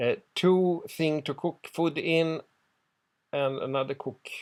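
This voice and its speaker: A man speaks in a Swedish accent at a very slow pace, his pitch fairly high. His intonation stays fairly even, broken by long, frequent pauses. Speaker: genealogy hobbyist. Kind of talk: ad hoc translation of a document. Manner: halting.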